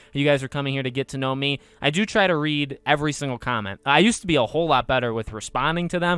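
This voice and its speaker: A man mumbles at a very fast pace with hardly any pauses, his fairly high voice showing ordinary pitch variation. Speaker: podcast host. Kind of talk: casual chat. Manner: mumbling; halting.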